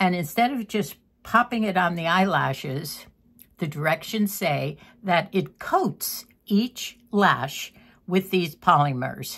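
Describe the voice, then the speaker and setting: On a very clean recording with a silent background, a woman with a fairly low voice talks very slowly with lively intonation. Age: 80s+. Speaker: lifestyle vlogger. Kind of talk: casual chat. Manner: halting.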